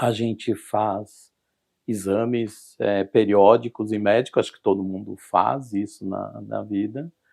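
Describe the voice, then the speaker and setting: A man speaks at a very slow pace in a fairly low voice with ordinary pitch variation. The recording is very clean, with a silent background. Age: 60s. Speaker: kidney transplant patient. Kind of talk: interview testimony. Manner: halting, many fillers.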